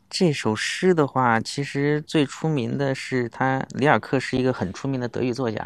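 Against a quiet background, a man with a medium pitch speaks at a fairly slow pace. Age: young. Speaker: rural resort manager. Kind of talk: casual chat. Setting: outdoors.

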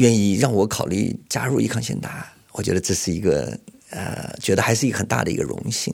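A man talks at a moderate pace with vocal fry in his voice. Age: 50s. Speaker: executive headhunter. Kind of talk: personal testimony.

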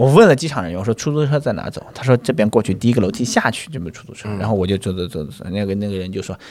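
A man's very fast speech over noticeable background noise. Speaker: stand-up comedian. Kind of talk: casual chat.

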